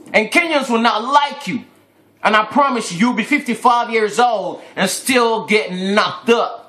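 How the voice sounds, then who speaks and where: A man speaks in a high, bright and sharp voice, animated and raised to carry. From Ghana. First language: Twi. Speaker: vlogger, fashion designer. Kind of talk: angry rant video.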